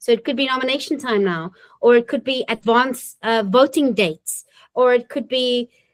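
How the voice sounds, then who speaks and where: Speaking at a moderate pace with a non-native accent, a woman has a high pitch and ordinary pitch variation. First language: not English. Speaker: municipal government trainer and webinar presenter. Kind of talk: webinar tutorial with live demo. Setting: recorded webinar. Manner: casual, conversational.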